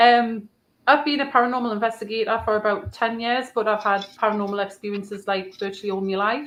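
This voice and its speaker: Very fast and fairly even in intonation, a woman speaks in a strong northeast English accent at a fairly high pitch. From northeast England. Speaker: paranormal investigator. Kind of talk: casual chat. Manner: hesitant, many ums.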